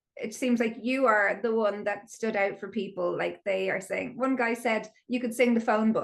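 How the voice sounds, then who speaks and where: With an Irish accent, a woman talks in a fairly high voice with vocal fry. Her intonation is monotone and flat, with hardly any pauses. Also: moderate pace. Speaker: podcast host. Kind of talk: podcast interview.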